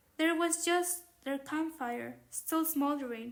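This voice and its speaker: A woman with a non-native accent speaks in a high pitch. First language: not English. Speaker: audiobook narrator. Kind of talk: reading aloud. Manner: halting.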